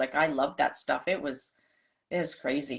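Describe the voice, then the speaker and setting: A woman speaks in an ordinary speaking voice at a moderate pace, with ordinary pitch variation. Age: 60s. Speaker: holistic nutritionist. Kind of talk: casual chat. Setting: live stream.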